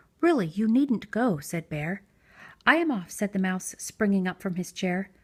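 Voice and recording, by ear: The voice reads aloud naturally. Its intonation rises and falls in a lively way.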